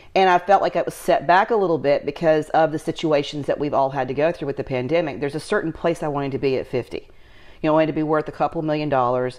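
Against a quiet background, the speech runs at a very fast pace with hardly any pauses. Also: woman, very deep, low pitch for a woman, ordinary pitch variation. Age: 50s. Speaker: lifestyle entrepreneur and channel host. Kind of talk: casual chat. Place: home room.

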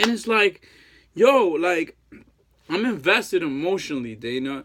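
A man's pitch swings very widely against a quiet background. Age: 30s. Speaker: heartbroken ex-boyfriend vlogger. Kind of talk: emotional plea to an ex. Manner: halting. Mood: pleading, emotional, frustrated. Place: home room. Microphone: phone near.

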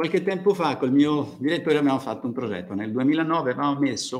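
At a very fast pace, a man speaks with a fairly high pitch. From Tuscany, Italy. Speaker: university agronomy researcher; conference presenter. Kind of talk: lecture. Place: hall. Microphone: podium.

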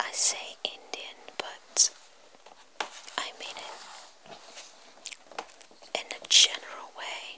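Whispering at a very slow pace, the speaker leaves long, frequent pauses. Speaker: ASMR creator. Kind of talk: ASMR book reading. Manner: whispered.

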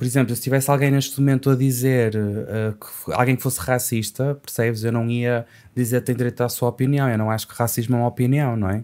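Against a quiet background, a man with a dark, mellow tone and medium pitch talks at a fairly quick pace in a monotone, flat intonation with hardly any pauses. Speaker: poet and language teacher; poet, language teacher. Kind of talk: casual podcast conversation. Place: studio. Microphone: studio mic.

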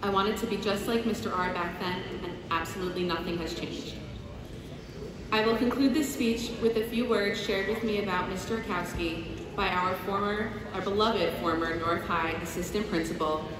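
At a moderate pace, a woman talks with ordinary pitch variation. Audible room echo and noticeable background noise surround her. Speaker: speaker. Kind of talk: formal speech. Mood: warm, admiring tribute. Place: hall.

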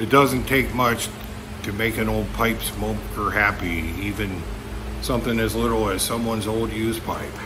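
With an American accent, a man speaks through audible room echo and noticeable background noise. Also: moderate pace. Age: 50s. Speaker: YouTuber / pipe smoking vlogger. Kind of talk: casual vlog monologue. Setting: barn.

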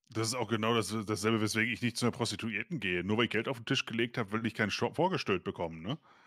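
A man talks very fast with hardly any pauses and ordinary pitch variation over a quiet background. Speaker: co-host of reaction stream. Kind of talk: casual reaction commentary. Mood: amused, exasperated. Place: home room. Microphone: studio mic.

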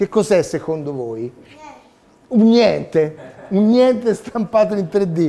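Here a man talks at a very slow pace, leaving long, frequent pauses. His pitch is high and his intonation lively. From Tuscany, Italy (Pontedera). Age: 50s. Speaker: 3D printing inventor. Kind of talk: talk to children. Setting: seminar room with audience. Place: meeting room.

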